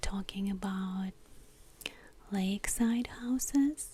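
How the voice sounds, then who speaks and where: The speaker whispers, soft-spoken, at a very slow pace. Noticeable background noise is present. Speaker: ASMR creator. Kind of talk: ASMR soft-spoken magazine talk. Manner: soft-spoken, whispered, slow.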